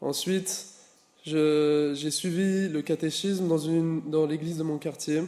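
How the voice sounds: A man speaks at a slow pace with a fairly high pitch. His tone is dark and mellow, and his intonation is fairly even.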